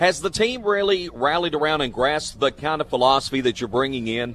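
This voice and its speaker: At a very fast pace, a man talks with lively intonation and a fairly high pitch. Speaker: radio host. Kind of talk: radio sports show interviews. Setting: live from restaurant.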